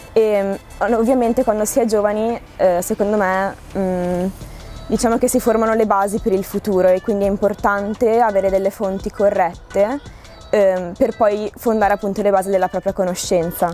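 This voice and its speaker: A woman speaks at a moderate pace with fairly even intonation and very even loudness. Faint music plays in the background, and the sound is dry with no echo. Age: young. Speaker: student. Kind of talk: interview answer. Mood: calm, thoughtful. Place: garden.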